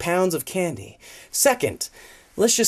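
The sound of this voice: In an unforced reading voice, the speaker shows ordinary pitch variation.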